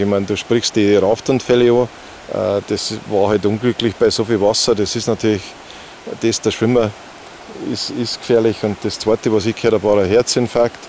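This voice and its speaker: A man with a Bavarian accent talks at a moderate pace and medium pitch, his intonation fairly even, over noticeable background noise. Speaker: whitewater kayaker and kayak instructor. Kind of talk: casual chat. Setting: outdoors by a stream.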